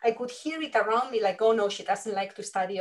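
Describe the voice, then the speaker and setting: Lively intonation in a somewhat breathy voice from a woman. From Spain. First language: Spanish. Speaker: leadership coach. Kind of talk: interview conversation.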